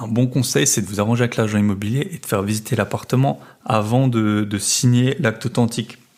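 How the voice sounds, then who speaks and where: Talking at a fairly quick pace, a man uses a medium-pitched voice with ordinary pitch variation and big swings in loudness. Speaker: real estate investment podcaster. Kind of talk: casual podcast monologue.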